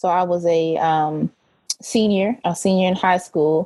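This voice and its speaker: This woman has a dark, mellow tone. Her pitch sits in the medium range. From Oklahoma. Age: 20s. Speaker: PhD student, family history researcher. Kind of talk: interview.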